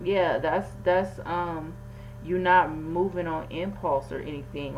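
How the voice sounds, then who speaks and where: Mumbling at a fairly slow pace, a woman speaks with a very deep, low pitch amid audible room echo and noticeable background noise. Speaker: tarot reader. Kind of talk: tarot reading monologue. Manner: stuttering, mumbling over words; casual, conversational.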